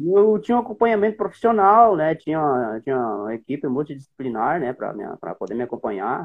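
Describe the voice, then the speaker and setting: At a fairly quick pace, a man talks with a fairly high pitch and very wide pitch swings. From Rio Grande do Sul, Brazil (Centro-Serra region). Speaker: former marathon runner. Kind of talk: interview.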